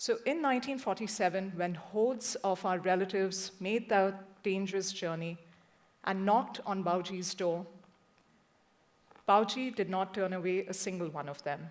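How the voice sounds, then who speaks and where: A woman with a medium-pitched voice speaks in a Punjabi accent. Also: ordinary pitch variation, moderate pace. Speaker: journalist. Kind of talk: talk to an audience.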